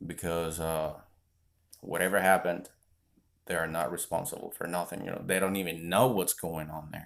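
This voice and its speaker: A man's very deep, low voice, fairly even in intonation, at a moderate pace with long, frequent pauses. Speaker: vlogger. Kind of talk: casual chat.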